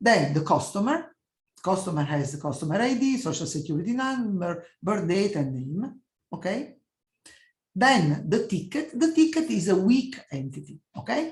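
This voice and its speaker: A woman with an Italian accent speaks in a somewhat breathy voice, her pitch swinging very widely. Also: medium pitch for a woman, moderate pace. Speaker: professor. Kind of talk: lecture. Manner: halting.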